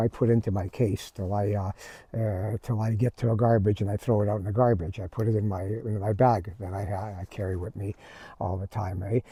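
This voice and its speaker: A man with a fairly low pitch and a dark, mellow, somewhat breathy tone speaks at a fairly quick pace with ordinary pitch variation, in a dry, close sound with no echo on a very clean recording with a silent background. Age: 70s. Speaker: vlogger. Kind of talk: casual chat. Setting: outdoors. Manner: halting.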